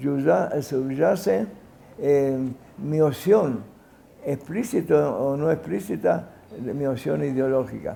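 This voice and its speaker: Words come from a man at a very slow pace. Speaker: sociologist and educator. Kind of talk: interview answer. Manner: halting, with fillers and self-corrections.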